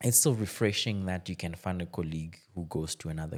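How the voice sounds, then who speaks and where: Vocal fry colors a man's voice. He talks at a fairly quick pace. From DR Congo. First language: French. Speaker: tech entrepreneur. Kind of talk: podcast conversation. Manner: halting, many repetitions.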